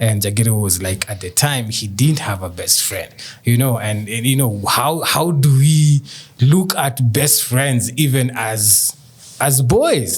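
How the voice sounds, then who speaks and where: A man of medium pitch speaks at a fairly slow pace with ordinary pitch variation. Noticeable background noise runs underneath. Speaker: podcast host. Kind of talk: casual chat.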